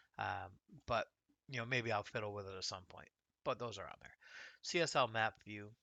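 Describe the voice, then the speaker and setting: A man with an American accent speaks in a relaxed tone at a fairly quick pace, with medium pitch and ordinary pitch variation. His loudness swings widely, and he takes long, frequent pauses. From United States. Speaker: gaming YouTuber. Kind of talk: casual gameplay tutorial. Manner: relaxed, conversational with fillers.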